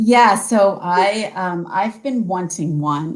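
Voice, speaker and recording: With a US Northeastern accent, a woman speaks at a fairly low pitch with ordinary pitch variation. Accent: US Northeast. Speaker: tour company sales representative. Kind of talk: interview on video call. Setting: video call.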